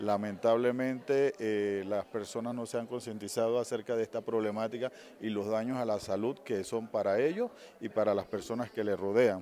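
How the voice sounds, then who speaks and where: At a moderate pace, a man talks in a dark, mellow tone with fairly even intonation, light background noise and a dry sound with no echo. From Panama. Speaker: psychologist; interviewee. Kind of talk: interview. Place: hall. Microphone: handheld.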